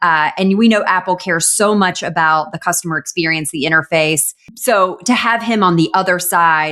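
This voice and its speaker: The speaker talks in a Southern US accent with a bright, sharp tone. There are hardly any pauses, and pitch variation is ordinary. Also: woman, fairly low pitch for a woman, moderate pace. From US South. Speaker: e-commerce news show co-host. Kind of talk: casual chat.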